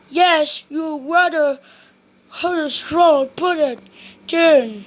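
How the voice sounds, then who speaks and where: Using a put-on character voice at an extremely high pitch, a woman talks at a very slow pace with ordinary pitch variation. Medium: read story. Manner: jolly, hearty.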